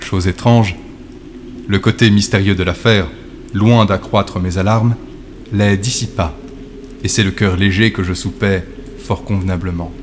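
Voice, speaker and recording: In a theatrical tone, a man speaks with a fairly low pitch and fairly even intonation at a fairly slow pace. Long, frequent pauses break up his speech, and there is noticeable background noise. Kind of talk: dramatic first-person gothic narration, read aloud as a story. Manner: slow, suspenseful, theatrical, hushed and ominous; formal literary diction, gradually building to breathless, feverish intensity.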